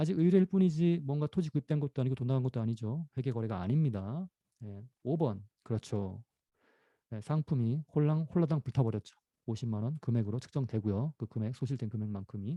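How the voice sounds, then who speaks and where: This man has a dark, mellow tone at a medium pitch, somewhat breathy, with lively intonation. He goes at a fairly quick pace, and the sound is dry and close with no echo. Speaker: professor. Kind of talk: lecture. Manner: fast.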